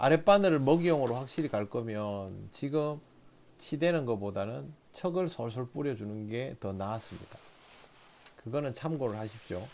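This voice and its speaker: With a Daegu accent, a man talks at a moderate pace in a medium pitch with lively intonation. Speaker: fishing instructor. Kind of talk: instructional commentary.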